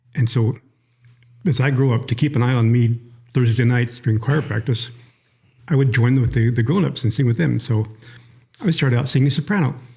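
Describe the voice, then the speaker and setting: Breathing somewhat audibly, a man at medium pitch speaks at a fairly quick pace in a dark, mellow tone, keeping very even loudness and leaving long, frequent pauses. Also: ordinary pitch variation. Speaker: retired newspaper writer and church elder. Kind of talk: interview. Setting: conference room.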